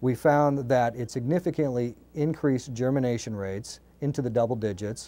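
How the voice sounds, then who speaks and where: A man's dark, mellow voice at a fairly quick pace, with ordinary pitch variation. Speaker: company executive. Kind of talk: interview. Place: studio. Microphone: lapel.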